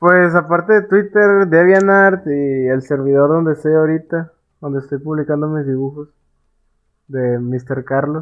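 A fairly high male voice, fairly slow, with ordinary pitch variation. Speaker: podcast co-host, amateur illustrator. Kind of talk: casual chat.

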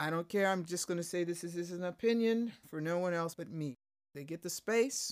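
In a very clean recording with a silent background, a woman speaks at a fairly quick pace. Her pitch is fairly low, with ordinary pitch variation. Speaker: guest. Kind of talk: casual chat interview. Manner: not a fast talker.

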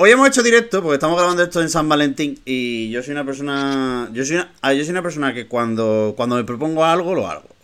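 A man talks very fast, his fairly high voice full of lively intonation. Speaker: podcast host. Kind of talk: casual chat. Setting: video call.

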